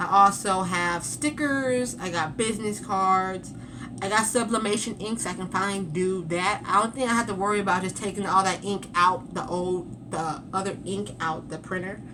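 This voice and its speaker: A woman talks at a medium pitch with ordinary pitch variation and hardly any pauses. Audible room echo is present. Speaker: vlogger. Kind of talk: casual chat. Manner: fast.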